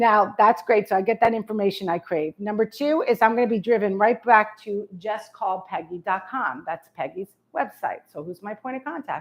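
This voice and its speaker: A woman with a New York accent talks with hardly any pauses, her pitch fairly high and her intonation lively. Her loudness swings a lot. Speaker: real estate marketing speaker. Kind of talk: presentation to realtors. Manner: fast; animated.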